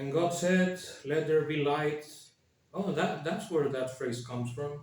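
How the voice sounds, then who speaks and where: Audible room echo surrounds a man who speaks with a Spanish accent at a fairly slow pace, his fairly high pitch showing ordinary variation. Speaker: YouTuber. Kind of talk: casual commentary with reading aloud. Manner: hesitant, many fillers.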